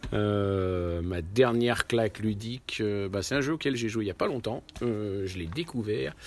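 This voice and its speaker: At a fairly slow pace, a man with a fairly low pitch and ordinary pitch variation talks in a plain, everyday voice. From Lyon area, France. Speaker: board game club member. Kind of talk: interview. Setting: board game event.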